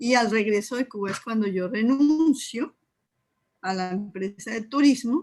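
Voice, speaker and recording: The voice is a woman's, somewhat breathy. She speaks at a moderate pace with ordinary pitch variation. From Colombia, Neiva, Huila. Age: 60s. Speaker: Urantia book teacher and artisan. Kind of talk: casual interview chat.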